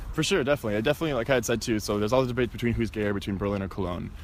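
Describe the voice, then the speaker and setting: With an American accent, the speaker shows vocal fry and ordinary pitch variation. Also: man. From US Midwest, Wisconsin (small town). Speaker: tour guide. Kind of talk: casual interview. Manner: casual, filler-heavy.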